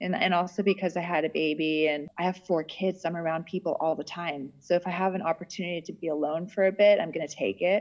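A woman's fairly low-pitched, normal speaking voice with fairly even intonation and a fairly quick pace. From US (Texas, Florida, Arizona). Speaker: podcaster. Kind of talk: casual chat.

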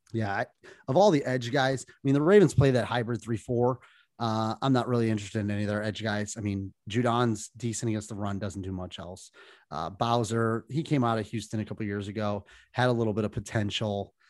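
In a very clean recording with a silent background, a man with a plain, everyday voice speaks at a fairly quick pace, medium pitch and ordinary pitch variation. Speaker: podcast co-host. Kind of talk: casual chat.

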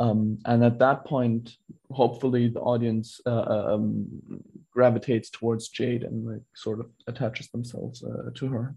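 Monotone and flat, a man's somewhat breathy voice carries a dark, mellow tone at a moderate pace. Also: medium pitch for a man. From Singapore. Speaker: screenwriter and filmmaker. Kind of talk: interview.

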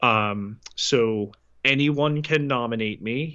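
A man's normal speaking voice, medium pitch and fairly even intonation, against a quiet background. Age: 40s. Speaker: podcast co-host. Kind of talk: casual chat.

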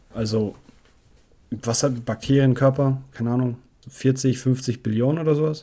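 Somewhat breathy and dark, mellow in tone, a man at a medium pitch speaks at a moderate pace with long, frequent pauses. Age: 20s. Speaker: podcast host. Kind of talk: casual solo monologue. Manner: animated. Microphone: new batteries and battery pack for the mic.

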